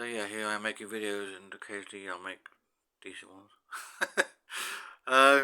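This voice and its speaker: A man speaks at a fairly quick pace in a British accent, his fairly low pitch and fairly even intonation broken by long, frequent pauses and big swings in loudness. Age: 60s. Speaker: YouTuber. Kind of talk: personal monologue. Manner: halting, with many fillers and repetitions.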